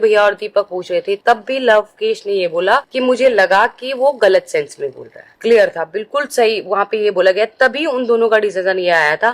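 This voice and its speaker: A fairly high-pitched woman with a slight Haryanvi accent and lively intonation, in a dry, close recording with no echo. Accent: slight Haryanvi touch. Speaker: reality show contestant. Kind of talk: vlog explanation to viewers. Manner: deliberately slow.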